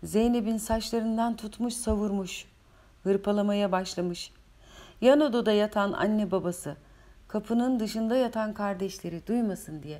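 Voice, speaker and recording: A dark, mellow tone carries the voice at a fairly slow pace. Pitch variation is ordinary. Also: woman, fairly high pitch for a woman. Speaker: author reading her own novel. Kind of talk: audiobook reading. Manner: emotional, occasionally faltering.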